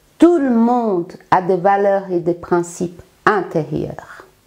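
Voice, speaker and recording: With a slight Brazilian accent, the speaker goes at a very slow pace with lively intonation. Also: woman. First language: Portuguese (speaking French). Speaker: life coach. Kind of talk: self-presentation monologue.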